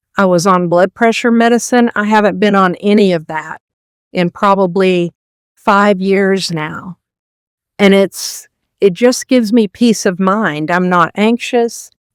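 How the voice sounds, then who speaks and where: A woman with an unremarkable speaking voice talks at a medium pitch and a fairly slow pace, her intonation fairly even, in a dry, close sound with no echo. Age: 60s. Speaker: carnivore diet channel host. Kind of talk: interview answer. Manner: casual, conversational.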